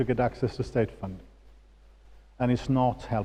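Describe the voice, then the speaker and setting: A man with a Swedish accent at a moderate pace. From Sweden. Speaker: political finance expert. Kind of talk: lecture. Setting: auditorium with audience.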